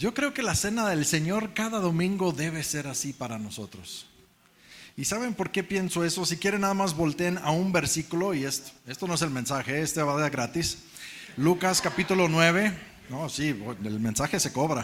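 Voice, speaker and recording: This man's voice is high in pitch, with lively intonation and a moderate pace. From Mexico. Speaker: preacher. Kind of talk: sermon. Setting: church.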